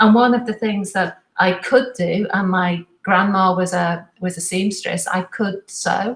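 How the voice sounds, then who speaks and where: At a fairly slow pace and with hardly any pauses, a woman talks in a somewhat breathy, medium-pitched voice with fairly even intonation. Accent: Liverpool. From Liverpool, northern England. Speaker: fashion professor. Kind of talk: interview.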